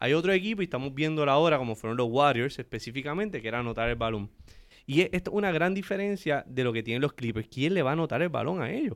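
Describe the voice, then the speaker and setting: The speech is very fast with lively intonation, on a very clean recording with a silent background. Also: man, fairly high pitch for a man. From Aguadilla, Puerto Rico. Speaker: entrepreneur and writer. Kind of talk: casual sports chat.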